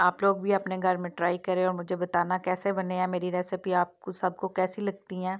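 A woman talks at a fairly low pitch in a monotone, flat intonation. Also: moderate pace.

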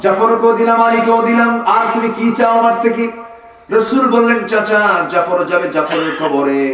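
Over light background noise and audible room echo, a man speaks at an extremely high pitch with ordinary pitch variation. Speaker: Islamic preacher giving a waz sermon. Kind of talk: Islamic sermon (waz) delivered to a live audience. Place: stage.

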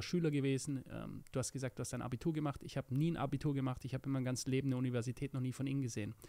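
The tone is dark and mellow, the intonation fairly even, and the background quiet. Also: man. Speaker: podcast co-host. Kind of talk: casual chat. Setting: studio. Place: studio. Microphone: studio mic.

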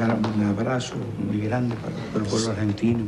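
A man talks at a fairly slow pace. Loud background noise fills the recording. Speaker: interviewed official guest host. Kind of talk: interview answer. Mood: friendly, smiling. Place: home room. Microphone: handheld.

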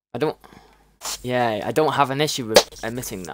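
A man with a British accent, fairly quick pace and ordinary pitch variation. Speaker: gaming streamer. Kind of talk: casual chat. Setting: video call. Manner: animated.

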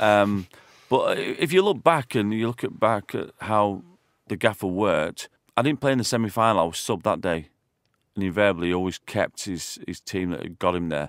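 A man with an ordinary speaking voice, fairly low in pitch, with ordinary pitch variation at a moderate pace, in a dry, close sound with no echo. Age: 40s. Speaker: former footballer. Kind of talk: casual chat. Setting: studio.

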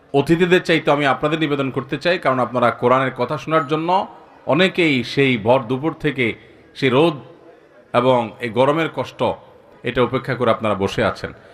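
A man speaks at medium pitch with ordinary pitch variation. It is a normal speaking voice. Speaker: Islamic preacher. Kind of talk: sermon.

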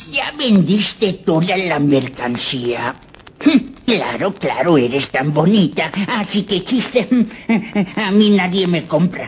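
At a fairly slow pace, a woman speaks with long, frequent pauses. Her medium pitch makes very wide swings.

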